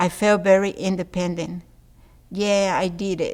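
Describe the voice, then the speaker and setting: In a Spanish accent, a woman speaks with monotone, flat intonation. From Mexico City, Mexico. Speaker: adult literacy learner. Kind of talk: reading aloud.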